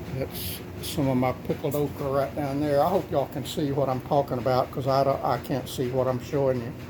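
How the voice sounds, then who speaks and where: In a Texan accent, a man speaks at a fairly quick pace with a fairly high pitch and fairly even intonation. Noticeable background noise runs underneath. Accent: Texan Southern US. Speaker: homesteader. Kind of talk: casual talk to camera.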